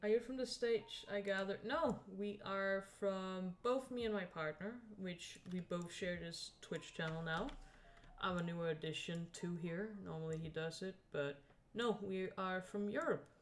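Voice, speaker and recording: Over music in the background, a woman talks at a fairly slow pace with a medium pitch and ordinary pitch variation. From Scandinavia. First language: a Scandinavian language. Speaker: streamer and digital artist. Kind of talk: casual live stream chat while drawing.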